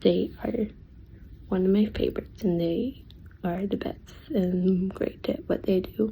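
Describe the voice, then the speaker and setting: Quiet and somewhat breathy, a woman's voice has a dark, mellow tone. She speaks at a fairly slow pace with long, frequent pauses. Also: medium pitch for a woman, ordinary pitch variation. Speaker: reaction video creator. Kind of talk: casual chat.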